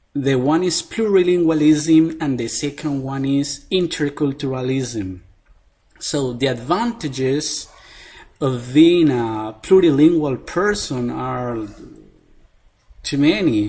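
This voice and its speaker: Lively in intonation, the speaker talks at a very slow pace in a Spanish accent. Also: man, fairly high pitch for a man. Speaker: professor. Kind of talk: interview answer. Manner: halting.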